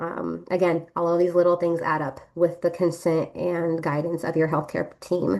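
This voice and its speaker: Her intonation monotone and flat, a woman talks at a moderate pace with vocal fry. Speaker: nurse. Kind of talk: presentation. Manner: hesitant, many fillers.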